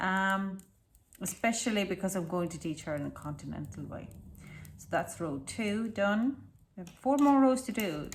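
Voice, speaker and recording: Her pitch swings very widely. The woman sounds somewhat breathy and has an Estonian accent. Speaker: knitting designer and tutor. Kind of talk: casual tutorial chat.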